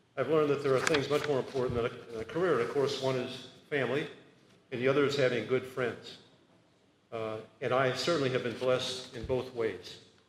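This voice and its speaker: Fairly quickly, a man speaks at a medium pitch in a monotone, flat intonation. Audible room echo and noticeable background noise come through. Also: long, frequent pauses. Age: 80s+. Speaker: retiring law professor. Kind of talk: retirement speech. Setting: party event with audience. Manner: halting with fillers.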